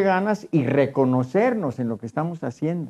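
A man speaks at a fairly slow pace in a fairly high pitch with a dark, mellow tone. His pitch swings very widely. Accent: Mexican. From Mexico, southwest Jalisco (near Cocula); Jalisco, Mexico. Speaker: traditional mariachi musician; guest. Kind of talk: televised panel discussion. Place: studio. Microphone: lapel.

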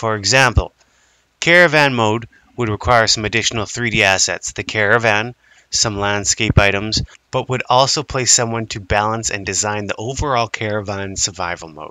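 A man speaks with a Canadian accent at a moderate pace. He has a normal speaking voice, fairly low pitch and ordinary pitch variation. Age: 30s. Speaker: indie game developer. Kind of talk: crowdfunding pitch to camera.

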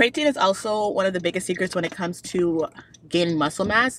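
This woman speaks at a moderate pace. There is light background noise, and the sound is dry with no echo. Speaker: fitness vlogger. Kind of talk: casual vlog chat. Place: car. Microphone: phone near.

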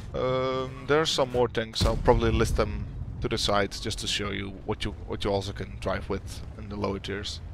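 A man with a Dutch accent speaks at a fairly quick pace, the sound dry with no echo and noticeable background noise behind him. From Netherlands. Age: 20s. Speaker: gaming YouTuber. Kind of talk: casual Q&A. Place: home room.

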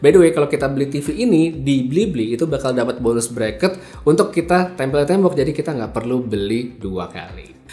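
Music plays in the background as a man talks at a fairly quick pace. His intonation is lively and he leaves hardly any pauses. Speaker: tech reviewer. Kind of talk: product review. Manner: casual, conversational.

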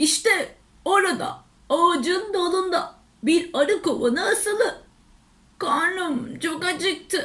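Her pitch sits extremely high. The woman puts on a character voice. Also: fairly slow pace. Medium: read story.

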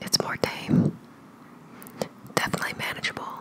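Whispered words from a woman. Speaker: ASMR food reviewer. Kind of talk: ASMR food review, casual talk to camera. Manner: whispering. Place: home room. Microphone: studio mic.

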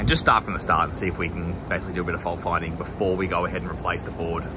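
A man talks at a very fast pace, noticeable background noise audible throughout. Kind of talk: tutorial. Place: open country. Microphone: phone near.

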